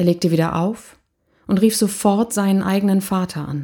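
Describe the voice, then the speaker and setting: In a very clean recording with a silent background, a woman with medium pitch and a dark, mellow, somewhat breathy tone talks at a moderate pace with fairly even intonation. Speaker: podcast host, motivational coach. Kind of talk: personal storytelling monologue.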